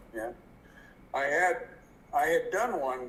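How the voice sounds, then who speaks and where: Over noticeable background noise, a man speaks at a fairly slow pace with an American accent. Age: 70s. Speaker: military retiree. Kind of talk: video call consultation. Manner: halting.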